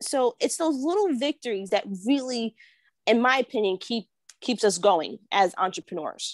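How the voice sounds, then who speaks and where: With a New York accent and lively intonation, the speaker goes at a moderate pace in a dry sound with no echo and a quiet background. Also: woman, fairly high pitch for a woman. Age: 30s. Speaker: real estate agent and entrepreneur. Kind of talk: casual interview. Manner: animated, laughs often. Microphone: earbuds.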